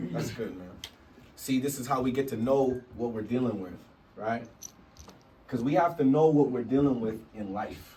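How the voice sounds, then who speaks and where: With audible room echo and noticeable background noise, a man speaks at a moderate pace and medium pitch, with ordinary pitch variation, big swings in loudness, and long, frequent pauses. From Canada, Vancouver. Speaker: hip hop teacher, rapper. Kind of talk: workshop class talk. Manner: animated.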